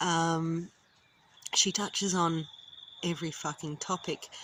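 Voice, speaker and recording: The speech moves at a moderate pace in an Australian accent. Its intonation is monotone and flat. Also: woman. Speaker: vlogger. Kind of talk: casual vlog talk. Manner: casual, frequent ums.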